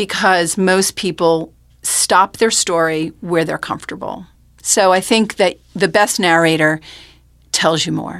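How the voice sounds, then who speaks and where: A woman with an unremarkable speaking voice and fairly low pitch talks at a fairly slow pace with fairly even intonation, on a very clean recording with a silent background. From New York, Rockland County. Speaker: oral historian. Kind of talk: interview. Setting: studio.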